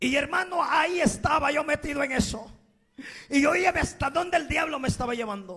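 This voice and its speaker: At a fairly quick pace, the voice comes across as animated, raised and projected. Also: man, extremely high pitch for a man, ordinary pitch variation. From Guatemala, Escuintla. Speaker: evangelist, former gang member. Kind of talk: testimony; sermon.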